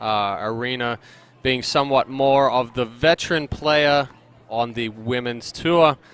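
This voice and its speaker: In an Australian accent, a man with a medium pitch speaks at a fairly slow pace with fairly even intonation. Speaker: sports commentator. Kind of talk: live commentary. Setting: commentary booth at outdoor tournament.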